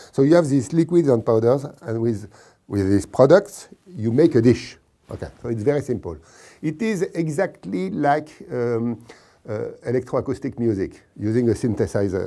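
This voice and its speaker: In a French accent, a dark, mellow voice with lively intonation moves at a moderate pace on a very clean recording with a silent background. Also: man, medium pitch for a man. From France. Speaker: scientist presenting a cooking contest. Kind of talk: informal explainer. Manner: halting, with repetitions and fillers.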